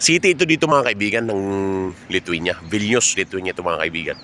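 A man talks very fast at a fairly low pitch over noticeable background noise. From Philippines. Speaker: vlogger, overseas Filipino worker. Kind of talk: walking vlog monologue. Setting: outdoors, walking home from work.

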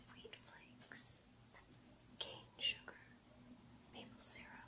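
Very slow whispering from a woman. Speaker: ASMR creator. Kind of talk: ASMR unboxing. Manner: whispered. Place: home room.

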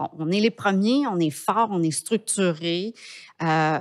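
In a quiet background, a woman with a Quebec accent talks at a very slow pace with ordinary pitch variation. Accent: Québécois French. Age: 50s. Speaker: entrepreneur; podcast guest. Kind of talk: interview. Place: studio. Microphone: studio mic.

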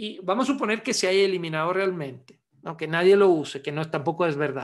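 A man with a high voice talks with ordinary pitch variation over a quiet background. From Italy (Milan); Italy. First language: Italian (speaking Spanish). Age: 60s. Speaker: osteopath and manual therapy teacher; manual therapy teacher. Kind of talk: webinar lecture. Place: home room. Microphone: webcam.

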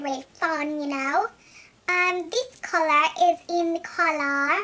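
A squeaky, put-on character voice from a woman, extremely high in pitch, at a fairly slow pace. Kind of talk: casual vlog chat. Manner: playful, fun.

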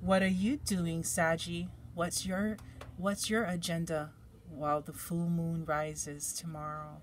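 A woman speaks at a fairly slow pace in a fairly low, somewhat breathy voice. Her intonation stays fairly even over light background noise. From Hawaii. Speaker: tarot card reader; tarot reader. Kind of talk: tarot reading for viewers; card reading commentary. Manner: relaxed, hesitant with fillers. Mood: calm, gentle, encouraging. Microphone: phone near.

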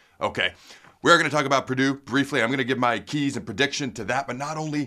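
Against a quiet background, a man talks very fast in a bright, sharp tone. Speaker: sports show host. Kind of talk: energetic sports commentary. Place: studio.

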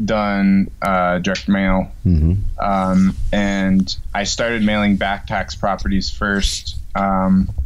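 An ordinary speaking voice comes from a man at a fairly low pitch with ordinary pitch variation. He speaks fairly slowly over light background noise. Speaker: guest. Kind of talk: interview answer. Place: home room. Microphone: video call.

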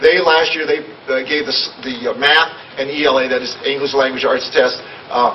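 Over light background noise, a man speaks at a moderate pace with monotone, flat intonation. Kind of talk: meeting report. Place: hall. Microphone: podium.

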